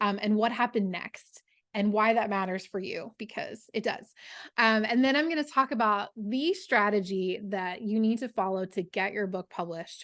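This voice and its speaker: A woman's fairly high, enthusiastic voice against a quiet background. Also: ordinary pitch variation, moderate pace. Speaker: book coach and novelist. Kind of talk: webinar masterclass presentation. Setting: online webinar with screen share.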